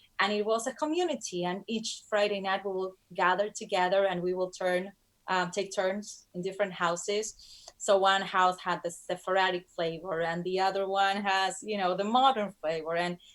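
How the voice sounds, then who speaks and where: A woman talks with a Spanish accent at a moderate pace. Her pitch is medium and her intonation fairly even. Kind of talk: interview. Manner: halting.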